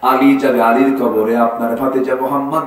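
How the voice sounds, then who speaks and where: Room echo is audible in this clip. The speaker is a man. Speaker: Islamic preacher giving a waz sermon. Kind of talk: Islamic sermon (waz) delivered to a live audience. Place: stage.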